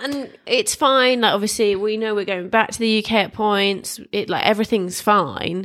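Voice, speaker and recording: With a British accent, a woman speaks in a fairly high voice with ordinary pitch variation and hardly any pauses. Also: moderate pace. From England. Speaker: podcast co-host. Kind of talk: casual chat.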